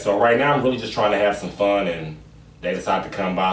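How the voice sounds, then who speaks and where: With an American accent and ordinary pitch variation, a man speaks over noticeable background noise in a room with audible echo. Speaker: podcast host, comedian. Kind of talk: casual chat.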